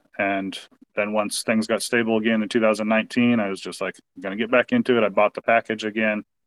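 A man with a West Coast US accent speaks at a fairly low pitch. He goes at a fairly quick pace in a monotone, flat intonation. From US Pacific Northwest, Portland, Oregon. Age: 40s. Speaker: sports fan. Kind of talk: casual chat.

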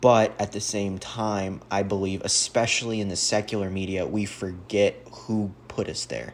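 A man with a normal speaking voice and an American accent talks at a moderate pace with hardly any pauses. His pitch is fairly low and his intonation fairly even. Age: 20s. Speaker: guest sharing survival testimony, youth basketball coach. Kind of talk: casual interview, faith testimony.

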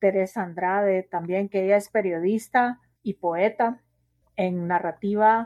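Speaking fairly slowly, a woman uses a normal speaking voice at a medium pitch with fairly even intonation. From Guatemala City, Guatemala. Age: 40s. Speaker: sociologist and writer. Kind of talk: interview.

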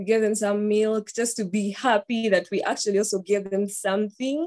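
A woman with a Ugandan accent speaks in a fairly high pitch and a dark, mellow tone over a quiet background. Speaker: student and volunteer. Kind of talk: slide presentation. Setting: video call. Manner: excited, nervous.

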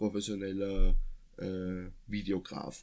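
A man speaks. His pace is very slow. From Austria, near Vienna. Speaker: podcast co-host. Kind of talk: casual chat. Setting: sitting side by side in one room.

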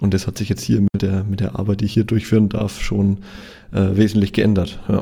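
A man's fairly low, dark, mellow voice with vocal fry, at a fairly quick pace. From Franconia, Germany (Nuremberg). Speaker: photographer and photography trainer. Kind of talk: casual interview. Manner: halting with frequent word repetitions.

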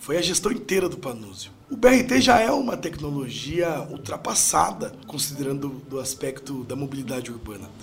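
Over noticeable background noise, a man with a fairly high pitch talks at a moderate pace with hardly any pauses and very wide pitch swings. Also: big swings in loudness. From Brazil, Sorocaba (São Paulo state). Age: 30s. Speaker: mayoral candidate and university lecturer. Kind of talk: political interview.

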